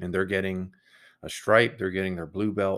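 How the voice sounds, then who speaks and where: A man speaks at fairly low pitch. The recording is very clean, with a silent background. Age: 40s. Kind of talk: solo monologue podcast. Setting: home room with computer. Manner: says um a lot.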